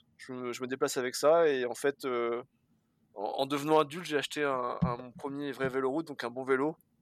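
A man with an ordinary speaking voice talks at a fairly quick pace, his pitch fairly high and his intonation fairly even. The recording is very clean and dry, close with no echo and a silent background. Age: 20s. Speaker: bicycle courier and dispatcher. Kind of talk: casual interview.

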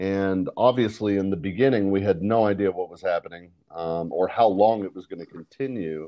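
The background is quiet as a man speaks. His voice is fairly low in pitch, with a dark, mellow tone. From Canada. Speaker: hospitality design marketing director. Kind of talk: interview.

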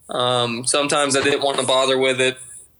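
With a Georgia accent, a man speaks at a fairly quick pace in a bright, sharp tone. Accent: Southern US, Georgia twang. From Georgia, US South. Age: 20s. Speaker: pilot, aviation mechanic. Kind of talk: casual podcast interview.

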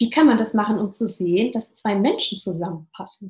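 A somewhat breathy female voice. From Hesse, near Fulda. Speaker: entrepreneur and startup consultant. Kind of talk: interview. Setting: home office.

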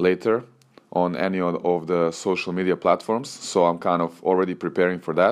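A man with a Serbian accent speaks at a moderate pace in a very deep, low voice. The recording is very clean, with a silent background. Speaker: tennis coach and podcaster. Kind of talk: solo podcast monologue. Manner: relaxed, conversational.

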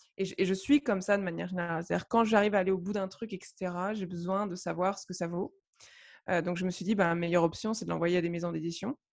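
Fairly even, medium-pitched female speech over a quiet background. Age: 30s. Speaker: novelist and blogger. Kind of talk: casual interview chat. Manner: halting, many fillers and repetitions.

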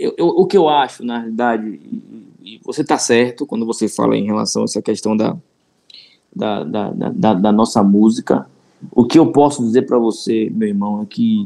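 A man's dark, mellow tone at a moderate pace. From Salvador, Bahia, Brazil. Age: 40s. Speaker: city events director. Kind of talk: casual interview chat. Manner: halting, many repetitions.

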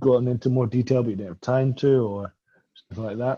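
With a Scottish accent, a man speaks at a medium pitch in a dark, mellow tone with fairly even intonation. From Scotland. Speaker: graduate student. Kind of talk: casual chat.

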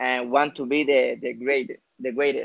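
A man speaks with a Spanish accent at a fairly high pitch. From Puerto Rico, Aguadilla. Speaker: professional boxer. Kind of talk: casual interview. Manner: halting, repeats words.

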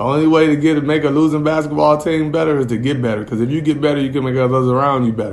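Over noticeable background noise and audible room echo, a man with an American accent talks at a very fast pace, his pitch fairly high with ordinary pitch variation. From Gary, Indiana. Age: 40s. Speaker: podcast co-host. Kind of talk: casual chat. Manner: animated.

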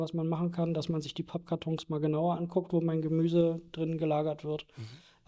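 Here a man with a dark, mellow tone speaks at a fairly high pitch. His pace is moderate. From Berlin (northern Berlin). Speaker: pest controller. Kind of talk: interview.

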